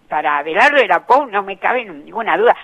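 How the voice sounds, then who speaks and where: A woman talks at a fairly quick pace with very wide pitch swings, against noticeable background noise. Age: 70s. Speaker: writer. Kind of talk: interview.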